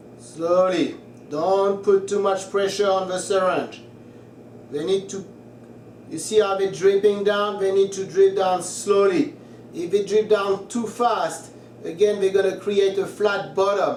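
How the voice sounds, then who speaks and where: Someone with a slight French accent speaks at a fairly slow pace with fairly even intonation. Noticeable background noise is present. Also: man, high pitch for a man. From France, Paris. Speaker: cooking tutorial creator. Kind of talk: tutorial. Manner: casual, chatty.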